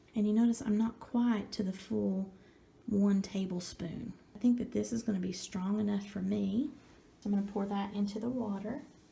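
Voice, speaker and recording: Soft-spoken, a woman talks at a moderate pace and a medium pitch with fairly even intonation, over noticeable background noise. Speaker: ASMR crafter. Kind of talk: ASMR craft tutorial.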